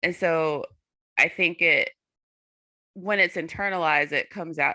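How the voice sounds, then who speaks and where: A woman with an American accent, a very deep, low pitch, vocal fry and a bright, sharp tone speaks at a moderate pace in a very clean recording with a silent background. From US South, North Carolina. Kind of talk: panel discussion.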